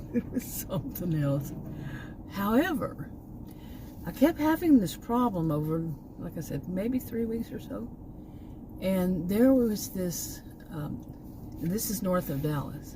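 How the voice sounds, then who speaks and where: Delivered at a fairly slow pace in a Texan accent, the voice has very wide pitch swings, big swings in loudness, and long, frequent pauses. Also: woman, medium pitch for a woman. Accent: Texan, remarked as terrible by herself. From Texas. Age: 60s. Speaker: vlogger. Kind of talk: casual vlog monologue. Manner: rambling, halting with many fillers.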